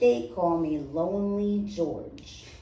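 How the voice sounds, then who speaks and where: A female-sounding put-on character voice at a middle pitch comes through with slight echo and light background noise. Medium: read story.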